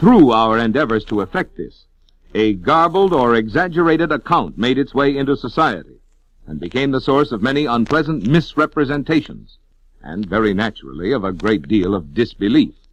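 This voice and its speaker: Over a quiet background, a man with a medium pitch and vocal fry talks at a fairly quick pace with very wide pitch swings. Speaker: voice actor. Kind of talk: horror story narration. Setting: old vinyl record transfer, scratches and pops.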